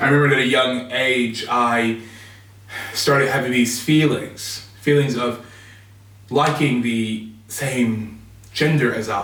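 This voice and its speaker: A man with an American accent speaks very slowly at a medium pitch, his intonation fairly even, with long, frequent pauses and audible room echo. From US Midwest, Chicago. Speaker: reverend. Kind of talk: personal testimony.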